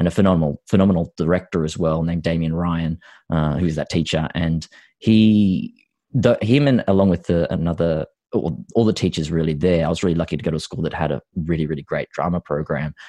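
In an Australian accent, the voice moves at a fairly quick pace with a dark, mellow tone, recorded dry and close with no echo over a quiet background. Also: man, very deep, low pitch for a man, ordinary pitch variation. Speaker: actor. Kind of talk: interview about personal story.

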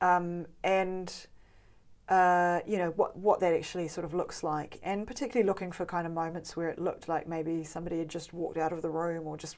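Speaking at a fairly quick pace, a woman with a New Zealand accent uses a fairly low pitch and monotone, flat intonation. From New Zealand West Coast. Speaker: artist. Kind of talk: interview. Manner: halting.

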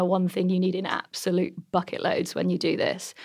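A woman speaks at a medium pitch with an English accent. The background is quiet. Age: 30s. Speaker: entrepreneur. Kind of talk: interview.

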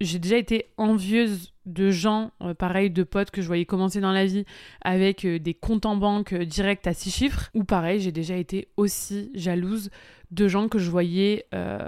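On a very clean recording with a silent background, a woman speaks at medium pitch. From France. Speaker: podcast host and online business coach. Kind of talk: casual solo podcast talk. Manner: animated.

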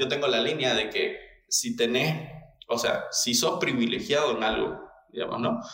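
A man speaks at a fairly slow pace with very even loudness. Noticeable background noise and audible room echo are present. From Latin America. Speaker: engineering business owner. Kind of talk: casual interview. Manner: hesitant, many fillers.

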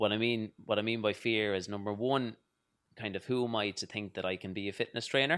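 A man speaks at a fairly low pitch in a western Irish accent. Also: very clean recording, silent background. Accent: Irish (west of Ireland). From Ireland, County Mayo. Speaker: fitness trainer. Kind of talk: casual interview chat. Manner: animated.

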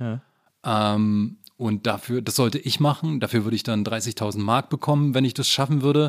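A man with a plain, everyday voice, medium pitch and ordinary pitch variation at a moderate pace, on a very clean recording with a silent background. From eastern Germany, Frankfurt (Oder). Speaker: journalist and author. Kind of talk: casual interview conversation.

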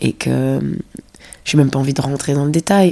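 Lively intonation runs through a woman's very deep, low voice with a dark, mellow tone. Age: 30s. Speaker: dancer. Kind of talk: casual chat. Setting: host's apartment. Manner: calm.

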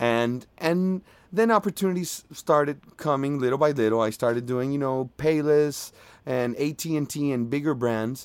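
The intonation is lively. The pace is moderate. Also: man. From Venezuela. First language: Spanish. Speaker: voiceover artist. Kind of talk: casual interview. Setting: remote recording from a mobile home by the beach.

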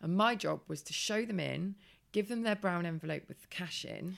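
A fairly low-pitched woman's voice in an English accent, at a fairly quick pace with ordinary pitch variation, on a very clean recording with a silent background. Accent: English, similar to host. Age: 30s. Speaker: former model turned blogger. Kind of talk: casual chat. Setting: in person at guest's home.

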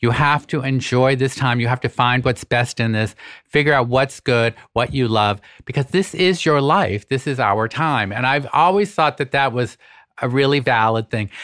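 The recording is very clean with a silent background, and a man speaks in an ordinary speaking voice at a moderate pace. His pitch is medium with ordinary variation, and his loudness is very even. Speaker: podcast host and former magazine editor. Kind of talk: casual interview chat. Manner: modest, self-deprecating.

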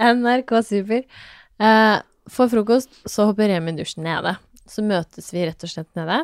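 A woman with a fairly high pitch speaks at a fairly slow pace in an animated tone with ordinary pitch variation. The sound is dry and close, with no echo. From Norway, Fredrikstad (Østfold). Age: 30s. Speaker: fashion entrepreneur and mother. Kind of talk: casual interview chat.

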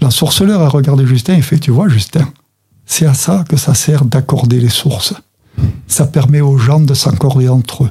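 A man talks at a fairly slow pace. His pitch is medium, with ordinary variation. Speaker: storyteller and association president. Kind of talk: storytelling, told tale with narrative voice. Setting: studio. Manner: animated, vivid, expressive storyteller with dramatic character voices.

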